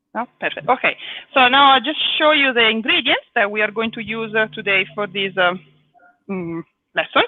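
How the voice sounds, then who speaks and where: A woman with an Italian accent speaks at a moderate pace in a fairly high voice. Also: lively intonation. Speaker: cooking teacher. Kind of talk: live cooking lesson. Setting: live video stream.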